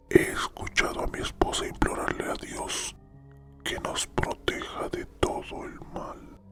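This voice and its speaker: Whispering at a very slow pace over background music. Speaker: narrator and scriptwriter. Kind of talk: whispered horror story narration. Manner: whispered.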